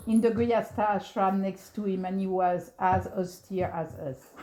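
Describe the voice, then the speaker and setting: Speaking at a moderate pace with a French accent, a woman uses a medium pitch over noticeable background noise. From France, then Canada from age 13. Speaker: devotee recalling memories. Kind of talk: storytelling talk. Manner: halting.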